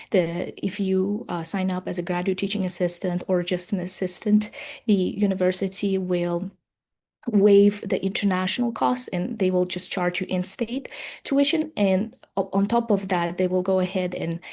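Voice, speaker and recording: In an Uzbek accent, the speaker uses a dark, mellow tone, ordinary pitch variation and a moderate pace against a quiet background. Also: woman, medium pitch for a woman. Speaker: software professional. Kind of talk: webinar panel talk. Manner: halting, many fillers.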